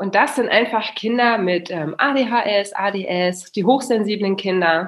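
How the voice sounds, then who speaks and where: At a very slow pace but with hardly any pauses, a woman speaks at a medium pitch. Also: ordinary pitch variation. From Germany, Kassel. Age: 30s. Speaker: family mentor. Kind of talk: casual interview. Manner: animated.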